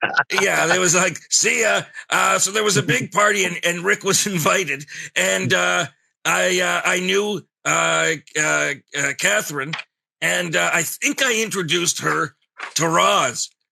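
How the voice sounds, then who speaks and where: A man's put-on character voice, raspy and fairly high, at a moderate pace. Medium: puppet. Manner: blunt, sardonic.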